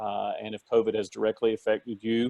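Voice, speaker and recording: A man with a Southern US accent speaks at a moderate pace. His voice is fairly low and flat, with monotone intonation. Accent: Southern US (Georgia). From South Georgia, US South. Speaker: government policy consultant. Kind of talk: webinar talk. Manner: conversational, colloquial; halting, many fillers.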